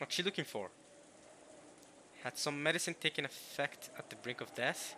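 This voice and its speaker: At a moderate pace, a man with a non-native accent speaks in a bright, sharp tone. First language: not English. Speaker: let's play streamer. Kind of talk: reading aloud with commentary. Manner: animated.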